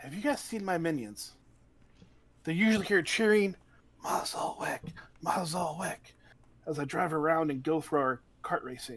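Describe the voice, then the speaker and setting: In a put-on character voice, a growling speaker holds a middle pitch at a moderate pace, with long, frequent pauses. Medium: actual play. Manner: brash, self-aggrandizing.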